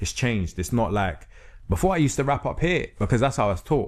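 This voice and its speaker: In a London accent, a man speaks with ordinary pitch variation on a very clean recording with a silent background. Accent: London multicultural English. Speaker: spoken word artist and rapper. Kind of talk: podcast interview. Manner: casual, lots of filler phrases.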